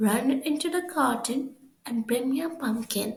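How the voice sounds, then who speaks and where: This woman uses a put-on character voice. Her pitch is high, and she talks at a moderate pace. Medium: read story.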